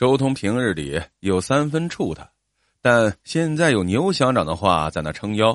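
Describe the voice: Against quiet surroundings, a voice does plain reading aloud.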